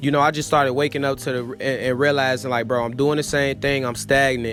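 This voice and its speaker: A man at a medium pitch with ordinary pitch variation, noticeable background noise behind him. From US Midwest, Chicago. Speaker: travel vlogger. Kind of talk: vlog monologue. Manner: loud; casual.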